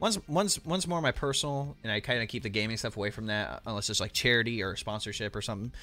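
A man with a medium-pitched, bright, sharp voice talks at a very fast pace with lively intonation and hardly any pauses. The recording is very clean, with a silent background. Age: 20s. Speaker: streamer. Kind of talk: casual chat. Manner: animated.

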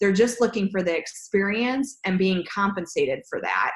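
A woman speaks with an American accent. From US Midwest, Chicago. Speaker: recruiting company founder. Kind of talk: interview.

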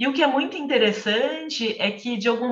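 Ordinary pitch variation and a moderate pace from a woman speaking. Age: 40s. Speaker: literature teacher and reading group mediator. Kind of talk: casual chat. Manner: talkative.

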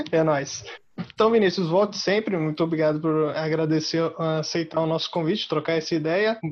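The speaker has a plain, everyday voice. The pace is moderate and the intonation fairly even. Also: man, fairly high pitch for a man. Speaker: podcast host. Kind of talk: casual interview.

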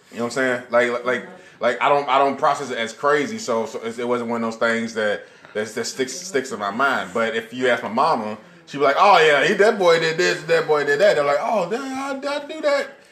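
A man talks at a fairly quick pace with lively intonation and a fairly high pitch. Noticeable background noise can be heard. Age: 40s. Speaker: podcast co-host. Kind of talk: casual chat. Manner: animated.

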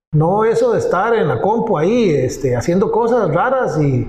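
A man speaks fairly slowly, his voice carrying audible room echo. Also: very even loudness. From Costa Rica, Pérez Zeledón (south). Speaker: digital agency founder. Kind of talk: interview.

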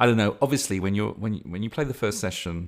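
A man speaks with a slight Lancashire accent. The recording is very clean, with a silent background. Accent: Lancashire-tinged English. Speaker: podcast host and game master. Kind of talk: casual monologue. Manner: rambling, halting, chatty.

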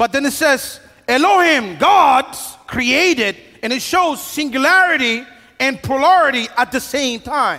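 A man talks at a fairly slow pace in a raised, projected voice. His pitch is extremely high. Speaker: pastor. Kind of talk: sermon. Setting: church with live audience and band. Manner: conversational, humorous.

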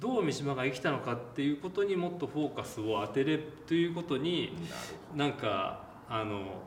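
The speaker uses lively intonation at a moderate pace. Noticeable background noise and audible room echo are present. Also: man, fairly high pitch for a man. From Japan, Shizuoka (Hamamatsu). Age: 40s. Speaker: film director. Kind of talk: interview.

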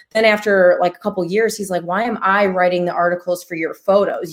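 In a very clean recording with a silent background, a woman speaks fairly quickly at a medium pitch with fairly even intonation, an ordinary speaking voice. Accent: American. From Chicago, Illinois. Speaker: real estate investor and physical therapist. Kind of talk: casual interview. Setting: live-streamed podcast.

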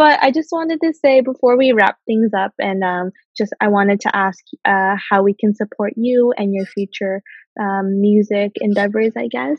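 At a moderate pace, a woman with an unremarkable speaking voice and medium pitch talks with lively intonation. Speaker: podcast host. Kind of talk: casual interview chat.

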